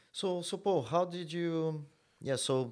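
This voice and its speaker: On a very clean recording with a silent background, a man speaks with a Brazilian accent. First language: Portuguese. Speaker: podcast host and jiu-jitsu coach. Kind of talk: casual interview.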